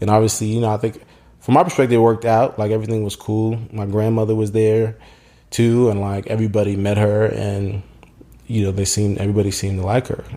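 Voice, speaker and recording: Talking at a very fast pace, the speaker has an American accent, a dark, mellow tone, and a monotone, flat intonation. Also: man, fairly low pitch for a man. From US, Haitian American family. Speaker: podcast guest. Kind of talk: casual chat. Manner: halting, many false starts.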